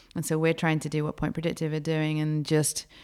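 A woman speaks with an American accent at a very deep, low pitch. Her intonation is monotone and flat. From England. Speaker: race car driver. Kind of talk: interview. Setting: conference event.

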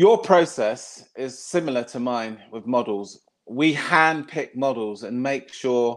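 In a plain, everyday voice, a man speaks at a fairly slow pace with a medium pitch and ordinary pitch variation over a quiet background. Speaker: podcast host. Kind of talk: casual interview chat.

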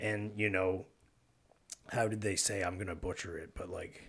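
A man speaks with a Canadian Maritime accent. His voice is fairly low, and his pace fairly slow. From rural Nova Scotia, Canada (Argyle). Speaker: podcast host. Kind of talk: casual interview chat. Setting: studio with microphones.

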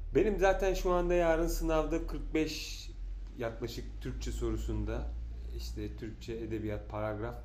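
Amid audible room echo, a man speaks at a very slow pace. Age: 40s. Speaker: podcast host. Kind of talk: casual chat. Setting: at home.

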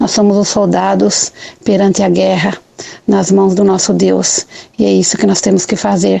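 Against noticeable background noise, a woman speaks at a moderate pace with very even loudness. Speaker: listener calling in. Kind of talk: voice message to radio show; casual testimony. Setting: recorded voice message.

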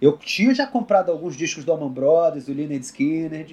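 A man's fairly high-pitched voice with a dark, mellow tone, lively intonation and a moderate pace. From Brasília, Brazil. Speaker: country guitarist. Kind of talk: casual interview.

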